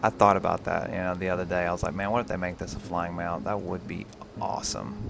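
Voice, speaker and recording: A soft-spoken man with a very deep, low pitch talks at a very fast pace. Music runs in the background. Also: lively intonation. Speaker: gaming live streamer. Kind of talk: casual gameplay commentary. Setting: live stream.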